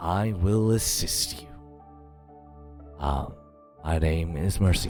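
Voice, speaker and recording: Someone talks in a put-on character voice at a fairly slow pace. Clear music plays in the background. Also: man, very deep, low pitch for a man. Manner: towering, powerful, glowing presence.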